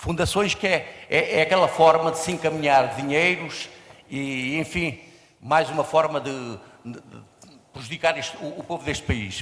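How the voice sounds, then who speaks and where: A man speaks at a moderate pace with a fairly high pitch and ordinary pitch variation. Big swings in loudness come through noticeable background noise. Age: 70s. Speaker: audience member. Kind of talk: audience comment.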